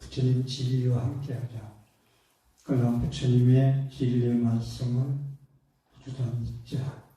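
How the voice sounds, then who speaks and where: Very slow, somewhat breathy male speech at medium pitch, dark and mellow in tone, monotone and flat, with long, frequent pauses and audible room echo. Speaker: Buddhist monk. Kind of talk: sermon. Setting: temple dharma talk with audience. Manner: hesitant, many fillers.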